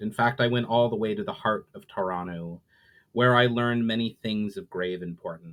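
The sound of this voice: With ordinary pitch variation, an unforced reading voice carries the clip.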